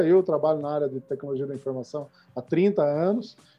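Fairly quick speech from a man, ordinary in pitch variation. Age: 40s. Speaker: startup founder and CEO. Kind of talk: interview. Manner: halting, frequent repetitions.

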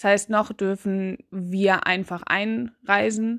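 A woman's medium-pitched voice with ordinary pitch variation, over a quiet background. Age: 20s. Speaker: podcaster. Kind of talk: casual monologue. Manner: hesitant, many fillers.

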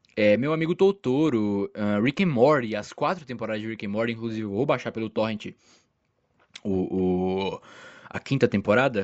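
A man speaks in a Brazilian accent at medium pitch. His pace is moderate and his pitch varies in an ordinary way. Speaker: solo podcaster. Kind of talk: casual monologue. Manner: animated; halting.

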